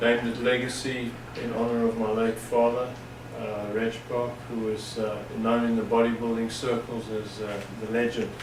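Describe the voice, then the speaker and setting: Noticeable background noise and audible room echo surround a voice with monotone, flat intonation. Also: man, medium pitch for a man, moderate pace. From South Africa. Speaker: personal trainer and gym owner. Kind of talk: interview.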